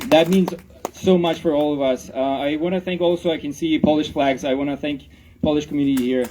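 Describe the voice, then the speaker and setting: A man with a fairly high voice talks at a fairly quick pace with fairly even intonation over noticeable background noise. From Ukraine. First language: Ukrainian. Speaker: rally speaker. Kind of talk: public speech at rally. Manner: halting, many fillers.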